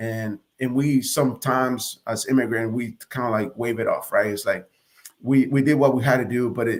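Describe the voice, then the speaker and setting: The man talks at a moderate pace, keeping his intonation fairly even. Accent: Spanish. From Nicaragua, then Hialeah, Florida from 1987. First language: Spanish. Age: 40s. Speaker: Marine Corps officer. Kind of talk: interview testimony.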